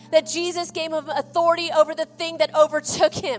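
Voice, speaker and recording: A woman's extremely high pitch in an Oklahoma accent, with music in the background. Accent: Oklahoma twang. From California. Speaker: missionary. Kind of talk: sermon. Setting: church. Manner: halting.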